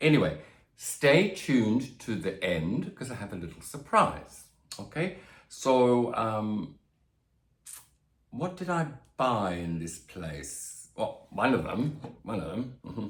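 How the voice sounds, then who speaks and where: Over audible room echo, a man with a medium-pitched voice and vocal fry swings very widely in pitch and loudness, leaving long, frequent pauses. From Australia. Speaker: plant youtuber. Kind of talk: casual vlog. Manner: hesitant, many fillers.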